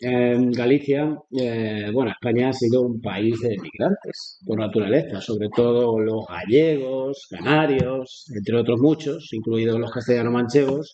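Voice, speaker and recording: This man has an ordinary speaking voice, medium in pitch, at a fairly slow pace. He hardly pauses, and his pitch varies in an ordinary way. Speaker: teacher and talk host. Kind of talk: moderating a school Q&A.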